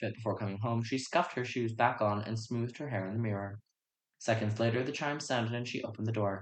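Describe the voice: Plain reading aloud with fairly even intonation and a quiet background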